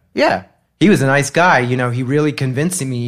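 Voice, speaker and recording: A man speaks at a medium pitch with ordinary pitch variation in an unremarkable speaking voice, captured in a very clean recording with a silent background. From Massachusetts. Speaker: fashion designer. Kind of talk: casual chat.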